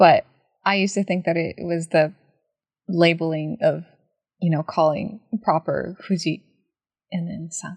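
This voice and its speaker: A somewhat breathy woman's voice, fairly low in pitch and flat in intonation, at a moderate pace with long, frequent pauses and big swings in loudness. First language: Japanese. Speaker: podcast co-host. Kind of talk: casual chat.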